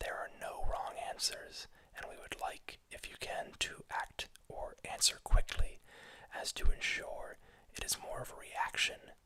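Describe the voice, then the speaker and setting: A man whispers at a fairly slow pace. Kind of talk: ASMR role-play as a research clinic doctor, whispered. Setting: audio only, close-mic recording. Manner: whispered.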